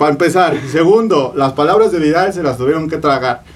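Pitched fairly high, a man speaks at a moderate pace with ordinary pitch variation. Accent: Mexican. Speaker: podcast co-host. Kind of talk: casual chat.

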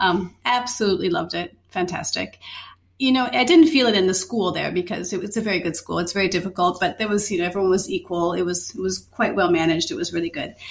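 A woman's medium-pitched voice at a very fast pace, with ordinary pitch variation and an Upper Midwest accent. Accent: Upper Midwest American. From Minnesota, US Midwest. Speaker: chef and culinary teacher. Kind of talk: casual conversation.

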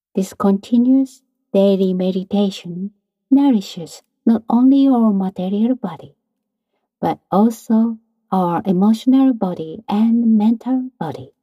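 A woman's fairly high, somewhat breathy voice, calm and soothing, with a dark, mellow tone, ordinary pitch variation and a dry, close sound with no echo. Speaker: meditation teacher. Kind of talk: guided meditation. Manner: calm, slow, instructive; soft-spoken, soothing.

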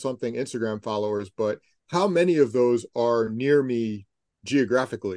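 An ordinary speaking voice from a man at a moderate pace with ordinary pitch variation, dry and close with no echo over a quiet background. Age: 50s. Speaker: sneaker journalist and author. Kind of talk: casual interview.

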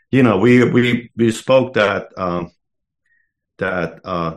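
The background is quiet. A man talks at a very slow pace. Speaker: sauna podcast host. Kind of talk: casual chat.

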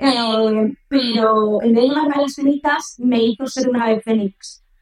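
Pitched high, a woman's voice varies in an ordinary way. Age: 30s. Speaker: influencer. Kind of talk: testimony.

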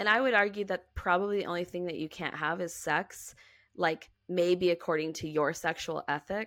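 Fairly low in pitch, a woman talks at a moderate pace with fairly even intonation, an unremarkable speaking voice. The recording is very clean, with a silent background. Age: 30s. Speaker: author and ministry worker. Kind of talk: casual chat.

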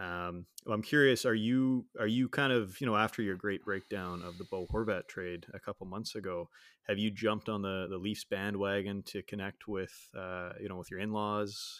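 A man with a Canadian accent and an ordinary speaking voice talks at a moderate pace and fairly low pitch, with fairly even intonation, in a very clean, dry, close recording with a silent background and no echo. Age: 30s. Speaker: podcast co-host. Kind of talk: casual chat. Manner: casual, chatty.

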